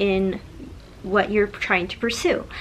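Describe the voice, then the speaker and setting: The woman's fairly high voice is accompanied by noticeable background noise. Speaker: social media blogger and mom coach. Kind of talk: tutorial. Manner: casual, conversational.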